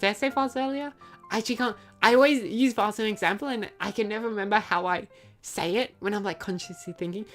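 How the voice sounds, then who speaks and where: A woman speaks at a very fast pace in a fairly high voice with ordinary pitch variation, music playing in the background. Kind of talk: reflective, conversational.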